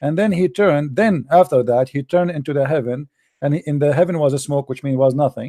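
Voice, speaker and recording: Fairly quick speech with a dark, mellow tone and ordinary pitch variation comes through in a very clean recording with a silent background. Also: man. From Middle East. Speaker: online debate host. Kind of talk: heated debate. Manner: animated.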